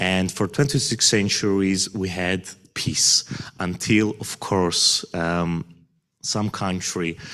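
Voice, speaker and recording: Speaking very slowly in a Georgian accent, a man uses a very deep, low pitch with ordinary pitch variation and a bright, sharp tone. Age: 30s. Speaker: visiting community leader. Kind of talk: speech. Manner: halting.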